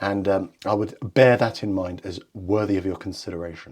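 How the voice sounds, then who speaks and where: A man with a British accent on a very clean recording with a silent background. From England. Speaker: watch reviewer, channel owner. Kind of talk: product review.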